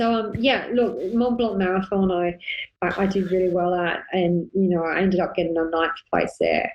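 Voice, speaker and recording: A woman with an Australian accent speaks at medium pitch and moderate pace, her loudness very even and her intonation fairly even. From Australia (Sydney). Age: 40s. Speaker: ultra endurance runner and running coach. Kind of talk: casual interview chat.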